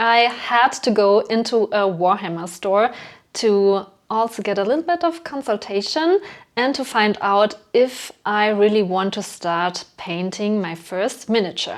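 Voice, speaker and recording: A woman speaks with a German accent at a fairly slow pace. Her fairly high voice has lively intonation. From Germany. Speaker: hobby YouTuber. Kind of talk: casual vlog narration. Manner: casual, with fillers.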